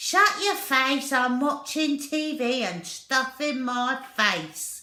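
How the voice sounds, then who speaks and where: A woman puts on a gruff character voice, high-pitched and raised to project, drawing out her words very slowly with very wide pitch swings. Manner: dismissive, rude.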